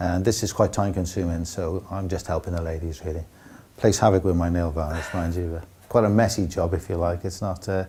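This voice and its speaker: A man talks fairly quickly with a South Wales accent. His very deep, low voice stays monotone and flat. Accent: South Wales (Cardiff). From Wales, Cardiff. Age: 60s. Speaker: football club kit man. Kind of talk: documentary interview. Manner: hesitant, repeats words.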